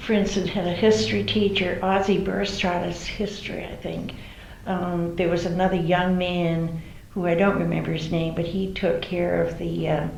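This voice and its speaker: With an American accent, a woman speaks at a moderate pace and a fairly low pitch with ordinary pitch variation, recorded with audible room echo and noticeable background noise. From Massachusetts, Cape Cod. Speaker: oral history interviewee. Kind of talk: oral history interview. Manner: halting.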